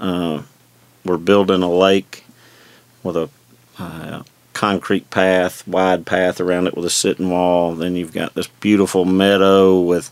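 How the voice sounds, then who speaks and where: A man with a Southern US accent speaks at a fairly slow pace in a very deep, low voice, his flat, monotone delivery broken by long, frequent pauses. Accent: Southern US (Georgia). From US South, north Georgia (Forsyth County). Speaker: mayor. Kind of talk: casual interview. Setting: studio.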